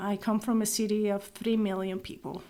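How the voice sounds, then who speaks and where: A woman speaks in a Venezuelan accent. Her pitch sits fairly high. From Venezuela, Maracaibo. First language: Spanish. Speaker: nonprofit executive director. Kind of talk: interview.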